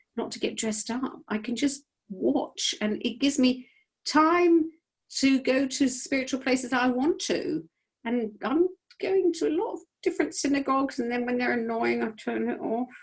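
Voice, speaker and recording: A woman with a British accent speaks at a high pitch with lively intonation. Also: moderate pace. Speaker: rabbi. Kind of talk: casual chat. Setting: video call. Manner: loud.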